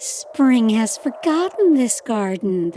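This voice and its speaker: Putting on a character voice, a woman speaks very slowly at a high pitch with very wide pitch swings. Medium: read story.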